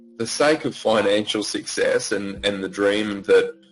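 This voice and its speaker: Speaking with an Australian accent, a man uses a fairly low pitch with ordinary pitch variation. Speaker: yoga teacher. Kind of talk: interview. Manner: casual.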